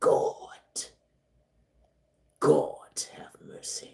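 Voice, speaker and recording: A man puts on a raspy character voice. His pitch is extremely high. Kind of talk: sermon cadence, emphatic. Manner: fervent, preaching.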